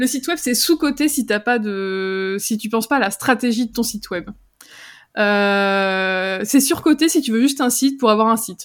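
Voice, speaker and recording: A woman's fairly high, lively voice at a fairly slow pace, a normal speaking voice on a very clean recording with a silent background. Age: 30s. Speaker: copywriter and entrepreneur. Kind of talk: interview.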